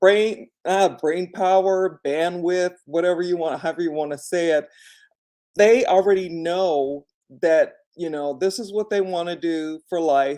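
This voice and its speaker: Her pitch sits fairly low, and her tone is dark and mellow. The woman speaks at a fairly slow pace with fairly even intonation. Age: 60s. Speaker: vlogger, former nurse. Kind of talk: casual livestream talk. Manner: conversational with many fillers.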